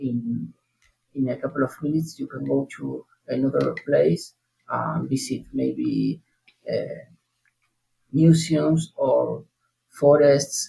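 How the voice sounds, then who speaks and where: Someone with a Spanish accent talks at a very slow pace, with long, frequent pauses. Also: man. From southern Argentina, Neuquén province. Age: 30s. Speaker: language learner. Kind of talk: interview. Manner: halting, many hesitations.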